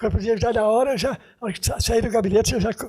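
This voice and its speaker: Ordinary pitch variation marks a man's speech, his pitch high. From Brazil, Goiás (Anápolis, from age one). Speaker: retired dentist being honoured. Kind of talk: TV interview. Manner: halting, with repeated syllables.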